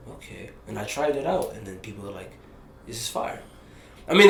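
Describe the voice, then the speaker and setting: An animated man with an American accent talks at a fairly quick pace amid audible room echo and noticeable background noise. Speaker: rapper. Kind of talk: casual interview. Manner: halting.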